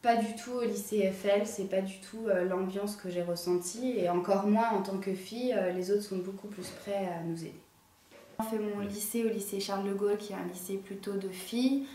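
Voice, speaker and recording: A woman speaks at a moderate pace in a medium pitch with monotone, flat intonation, with audible room echo and noticeable background noise. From France, Dijon. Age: 20s. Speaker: engineering student. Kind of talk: interview testimony. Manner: hesitant, many filler sounds.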